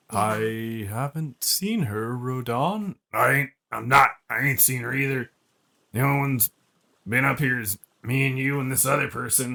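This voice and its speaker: Using a put-on character voice, a man speaks at a moderate pace in a medium pitch with ordinary pitch variation. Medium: actual play. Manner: folksy, ungrammatical.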